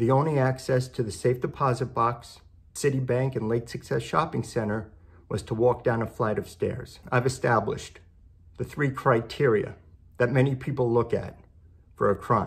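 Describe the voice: Moderate pace and fairly even intonation. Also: man, medium pitch for a man.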